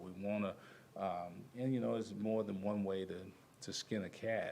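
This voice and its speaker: Audible room echo surrounds a man whose fairly low voice has a dark, mellow tone. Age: 60s. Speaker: basketball assistant coach. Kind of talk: press conference. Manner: halting.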